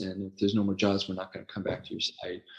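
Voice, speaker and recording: This man has an American accent. He speaks with fairly low pitch. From Los Angeles, San Fernando Valley. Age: 60s. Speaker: website founder and former ESL teacher. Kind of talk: casual interview conversation. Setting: podcast.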